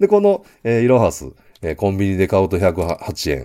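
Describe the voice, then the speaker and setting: With vocal fry, a man talks at a fairly quick pace in a very deep, low pitch. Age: 50s. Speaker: business consultant. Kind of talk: solo business lecture. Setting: home studio. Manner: many filler sounds.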